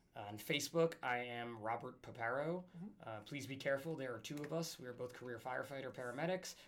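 A man's unremarkable speaking voice with an American accent, fairly quick in pace with ordinary pitch variation. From New Jersey. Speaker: firefighter and paramedic. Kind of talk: casual chat.

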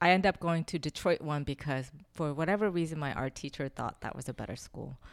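With a Korean accent, a woman speaks at a fairly quick pace in a very deep, low pitch with ordinary variation. The recording is very clean, with a silent background. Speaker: sculptor and installation artist.

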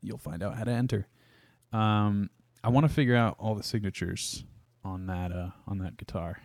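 A man with an American accent speaks at a moderate pace and fairly low pitch, with ordinary pitch variation and long, frequent pauses, in a very clean recording with a silent background and a dry, close sound with no echo. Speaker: podcast host and guitarist. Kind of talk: casual chat. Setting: studio.

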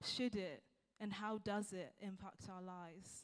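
A woman's medium-pitched voice at a fairly slow pace, with monotone, flat intonation. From Zimbabwe. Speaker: church planter. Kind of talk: sermon.

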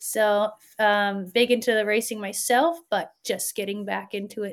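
With a Canadian accent, a woman talks at a moderate pace on a very clean recording with a silent background. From Alberta, Canada. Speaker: race organizer. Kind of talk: casual chat.

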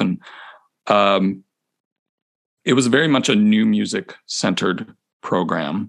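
Ordinary pitch variation marks a man's speech with an American accent. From US Midwest, Chicago area. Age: 40s. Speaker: percussion instructor. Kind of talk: casual interview. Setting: video call.

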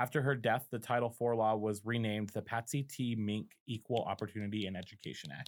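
Talking at a fairly quick pace with hardly any pauses, a man with an American accent has a plain, everyday voice, a medium pitch, and fairly even intonation. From Colorado. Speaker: podcast host. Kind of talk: reading aloud; casual chat.

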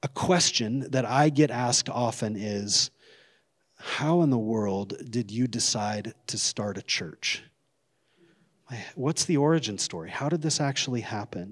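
A man with an American accent speaks at a fairly slow pace in a medium pitch, his intonation lively. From northern Idaho, US. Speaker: pastor. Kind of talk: sermon. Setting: church. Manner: halting.

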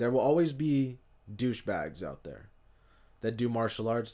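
The speaker has an American accent and a fairly quick pace. The recording is very clean, with a silent background. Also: man. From US West Coast, East Bay California. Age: 20s. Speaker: podcaster. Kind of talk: solo monologue. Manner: passionate.

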